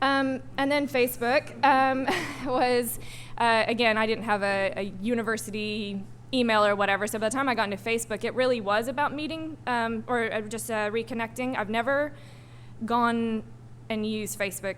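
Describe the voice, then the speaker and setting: A woman speaks with an American accent and ordinary pitch variation, and some room echo can be heard. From US South, Arkansas. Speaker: digital strategist, panel speaker. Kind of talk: panel talk. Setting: stage with audience. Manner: fast; hesitant, many ums.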